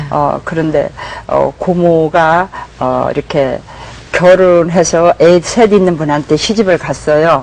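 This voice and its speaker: Over noticeable background noise, a woman with a fairly low voice speaks very slowly in a fairly even tone. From South Korea. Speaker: pastor. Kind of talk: testimony. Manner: halting.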